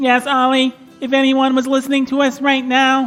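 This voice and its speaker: A put-on character voice at a moderate pace. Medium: audio drama. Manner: flat, literal, says "bleep bloop"; deadpan robotic, overly formal.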